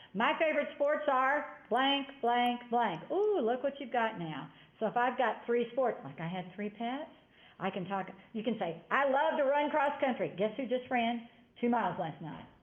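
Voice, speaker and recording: A woman with a high pitch and lively intonation at a moderate pace, with audible room echo. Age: 60s. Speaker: college instructor. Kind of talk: lecture.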